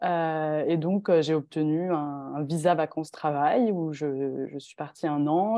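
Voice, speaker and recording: With ordinary pitch variation, a woman speaks at a very deep, low pitch. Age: 20s. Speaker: long-distance cycle traveller. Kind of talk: interview.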